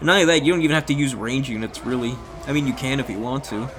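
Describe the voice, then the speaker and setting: Noticeable background noise surrounds a man whose medium-pitched voice shows ordinary pitch variation. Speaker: gaming commentator. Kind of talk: replay commentary. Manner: fast; animated.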